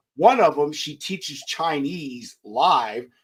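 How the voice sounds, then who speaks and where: Speaking with an American accent, this man has a fairly high voice. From Texas. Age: 30s. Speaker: podcast host. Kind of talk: casual chat.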